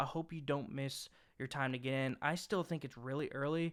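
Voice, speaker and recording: The recording is very clean, and the background is silent. Speaking with ordinary pitch variation, a man keeps up a fairly quick pace. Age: 30s. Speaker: crypto YouTuber. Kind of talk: tutorial. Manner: fast; animated.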